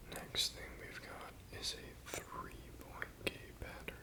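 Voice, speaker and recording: Whispering over noticeable background noise. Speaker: physical therapy student. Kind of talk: educational ASMR study explanation. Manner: soft-spoken.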